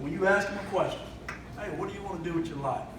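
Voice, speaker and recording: A man's animated voice with a Kentucky accent, along with room echo and noticeable background noise. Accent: Kentucky twang. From Kentucky, Greensburg (small town). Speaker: speaker, police trainer and Marine veteran. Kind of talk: motivational speech to a community audience. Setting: hall with live audience, handheld microphone. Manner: animated with hands; halting, many fillers and repeats.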